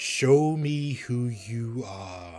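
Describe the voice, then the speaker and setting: Faint music plays behind a man doing a put-on character voice. It is booming and medium-pitched, with lively intonation. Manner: humbling, commanding.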